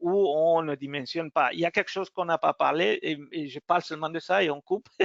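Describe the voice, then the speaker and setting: A man's high-pitched voice with a non-native accent. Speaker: technical support engineer. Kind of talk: software webinar demo. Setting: online webinar. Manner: halting.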